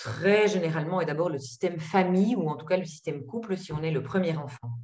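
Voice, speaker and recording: A somewhat breathy woman's voice at medium pitch, with lively intonation. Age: 50s. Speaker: psychologist and trainer. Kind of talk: webinar presentation. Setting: video call.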